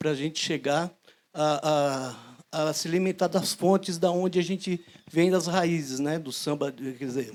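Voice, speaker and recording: A man with a fairly high pitch talks at a fairly slow pace with fairly even intonation, in a very clean recording with a silent background. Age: 60s. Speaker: audience member, percussion teacher. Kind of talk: public Q&A question. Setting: outdoor bandstand with audience. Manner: halting.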